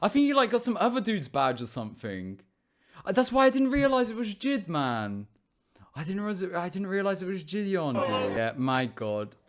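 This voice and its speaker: With a British accent, a man talks at a fairly quick pace in a high pitch with very wide pitch swings. Music plays in the background. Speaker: small streamer, vlogger. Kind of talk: casual vlog recap. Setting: convention.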